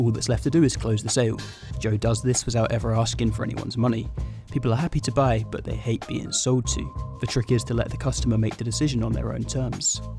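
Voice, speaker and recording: A man at a very fast pace, with music in the background. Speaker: video narrator. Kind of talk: explanatory commentary.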